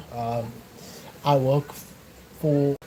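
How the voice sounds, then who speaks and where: Over noticeable background noise, a man with a Cape Town accent speaks at a medium pitch with fairly even intonation. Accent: South African (Cape Town) English. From South Africa, Cape Town. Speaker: fitness vlogger. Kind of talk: casual livestream talk. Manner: hesitant, many fillers.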